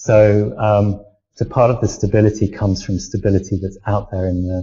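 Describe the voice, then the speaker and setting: Fairly low-pitched, somewhat breathy male voice, monotone and flat, at a moderate pace. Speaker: academic discussing identity. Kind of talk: panel discussion. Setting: live video hangout. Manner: halting.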